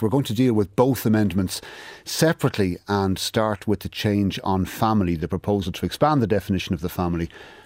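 Fairly quick, lively intonation from a man with a fairly low pitch. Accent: Irish. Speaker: radio current affairs host. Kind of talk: news presenting. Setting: studio.

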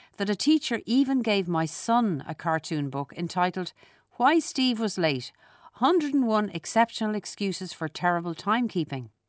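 With a Dublin accent and very wide pitch swings, the speaker moves at a moderate pace in a dry, close sound with no echo against a quiet background. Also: woman. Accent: Irish (Dublin). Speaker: essayist. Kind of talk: scripted narration.

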